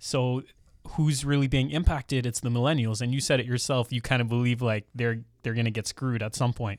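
A man's medium-pitched voice with a Canadian accent, fairly even intonation and a fairly quick pace, dry and close with no echo, in a very clean recording with a silent background. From Ontario, Canada (Mississauga, Brampton). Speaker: millennial real estate investor and podcaster. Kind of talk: casual interview chat. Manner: articulate, well spoken.

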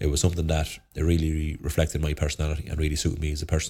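Spoken with an Irish Midlands accent at a very fast pace, the somewhat breathy voice has a dark, mellow tone and monotone, flat intonation, on a very clean recording with a silent background. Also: man. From Ireland, County Offaly. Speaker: inter-county Gaelic footballer. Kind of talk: casual interview. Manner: halting, many fillers.

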